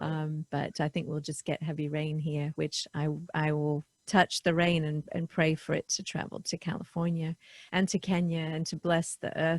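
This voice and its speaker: A woman with a British accent, a very deep, low pitch, monotone, flat intonation, a somewhat breathy quality and a moderate pace, in a dry, close sound with no echo. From England. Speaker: podcast host. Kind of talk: casual interview chat. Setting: video call.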